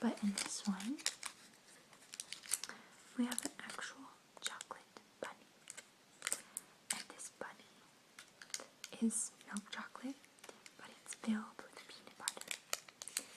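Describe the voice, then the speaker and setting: A woman whispers at a fairly slow pace with long, frequent pauses. Her loudness swings widely over noticeable background noise. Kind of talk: casual talk to camera, ASMR. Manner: soft-spoken.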